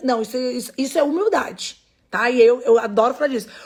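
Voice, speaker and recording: A woman talks at a fairly quick pace, her pitch high and her tone animated. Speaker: sales trainer. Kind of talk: online class.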